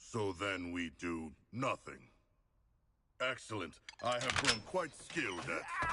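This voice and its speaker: A man's put-on character voice, fairly low in pitch, fairly slow, with long, frequent pauses. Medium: video game. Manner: polite, formal, deadpan.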